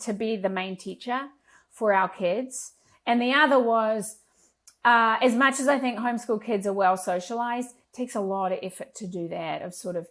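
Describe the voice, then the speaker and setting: A woman at a fairly high pitch with a slight New Zealand accent, moderate pace and ordinary pitch variation. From rural New Zealand. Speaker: entrepreneur. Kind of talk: podcast interview.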